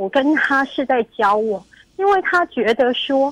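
Dry and close with no echo, a woman's high voice swings very widely in pitch. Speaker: caller. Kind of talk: call-in confession. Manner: trembling voice.

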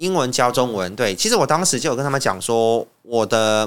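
A man speaks at a moderate pace and medium pitch with a normal speaking voice. The recording is very clean, with a silent background. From Myanmar, Yangon. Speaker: language teacher. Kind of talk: interview.

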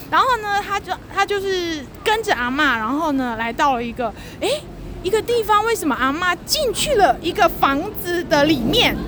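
The voice moves in very wide pitch swings. Crowd noise is audible in the background. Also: woman, extremely high pitch for a woman, moderate pace. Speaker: children's literature writer. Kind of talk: casual chat. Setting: outdoors at a metro station.

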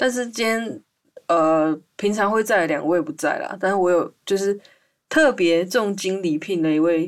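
A woman speaks at a fairly slow pace in a Taiwanese accent. Her pitch variation is ordinary. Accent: Taiwanese Mandarin. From Taiwan, Hualien. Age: 20s. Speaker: podcast host. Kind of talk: casual chat. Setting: remote recording over voice channel.

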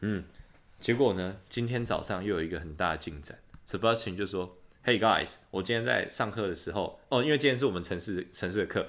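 Speaking at a fairly quick pace, a man with a Taiwanese accent has a fairly low pitch. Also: ordinary pitch variation. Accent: Taiwanese Mandarin. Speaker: podcast host, exchange student. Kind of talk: casual chat. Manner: animated.

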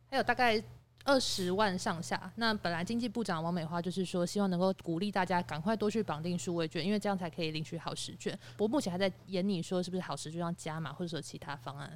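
A woman talks at a very fast pace in a fairly low pitch. Her pitch variation is ordinary. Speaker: podcast panelist. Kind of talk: casual chat.

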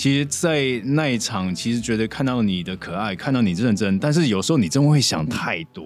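With music in the background, a man speaks at a fairly quick pace with very wide pitch swings and a slight Cantonese accent. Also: medium pitch for a man, hardly any pauses. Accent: Cantonese-tinged. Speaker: actor. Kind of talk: casual chat. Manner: animated, laughing.

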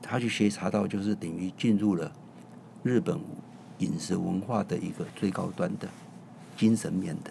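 A man's fairly low voice with very wide pitch swings, at a moderate pace broken by long, frequent pauses. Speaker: chef and restaurant owner. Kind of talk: casual interview.

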